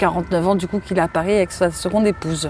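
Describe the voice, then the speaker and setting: At a fairly quick pace, a woman talks over noticeable background noise. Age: 40s. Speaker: interviewee sharing childhood abuse. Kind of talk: testimony. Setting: outdoors in a park. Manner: halting.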